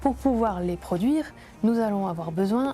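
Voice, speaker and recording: Her tone dark and mellow, a woman speaks somewhat breathily at a medium pitch with ordinary pitch variation. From France, Grenoble area. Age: 30s. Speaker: entrepreneur. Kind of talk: interview testimony.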